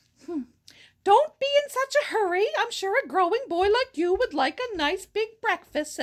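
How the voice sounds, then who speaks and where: Putting on a character voice, a woman speaks at a moderate pace in a squeaky, extremely high pitch. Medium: read story. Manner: motherly, fussing.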